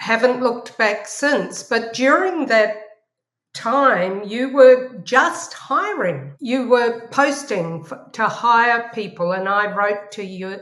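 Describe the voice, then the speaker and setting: Very slowly, a woman speaks at a fairly high pitch with lively intonation and big swings in loudness, amid audible room echo. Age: 60s. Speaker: professor. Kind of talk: interview.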